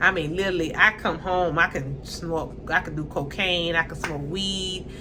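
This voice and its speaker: A woman with a strong Southern US accent and a fairly low pitch sounds animated, with music in the background and audible room echo. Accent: strong Southern country dialect. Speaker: YouTuber reality TV commentator. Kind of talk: casual commentary monologue.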